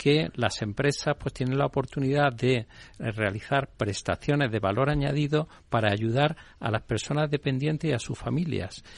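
A man in a plain, everyday voice, medium in pitch, with ordinary pitch variation and a moderate pace. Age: 60s. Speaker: CEO of a caregiver training company. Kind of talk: interview.

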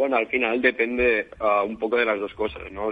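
Fairly low-pitched, a man talks at a fairly quick pace.

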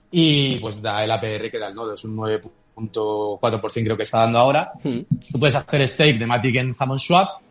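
In an unremarkable speaking voice, a man talks at a fairly slow pace with medium pitch and ordinary pitch variation. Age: 40s. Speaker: crypto startup CEO. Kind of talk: interview.

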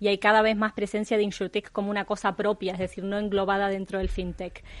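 A woman speaks with a Uruguayan accent at a medium pitch. The background is quiet. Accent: Rioplatense (Uruguayan) Spanish. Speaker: insurtech specialist. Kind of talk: panel discussion.

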